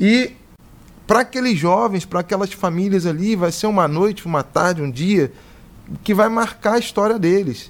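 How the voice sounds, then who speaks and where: A man with a high pitch speaks at a moderate pace, showing ordinary pitch variation. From Rio de Janeiro, Brazil. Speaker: podcast co-host. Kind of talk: casual podcast interview.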